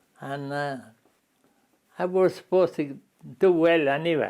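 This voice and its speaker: With an Irish Midlands accent, a man speaks at a fairly high pitch. His pitch variation is ordinary. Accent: rural Irish Midlands. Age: 80s+. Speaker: interviewee. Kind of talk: interview. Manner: halting.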